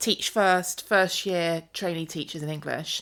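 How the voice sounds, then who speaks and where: A woman speaks loudly at a moderate pace in a bright, sharp tone, on a very clean recording with a silent background. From England, Devon. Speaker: educator. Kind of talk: podcast interview. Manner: animated.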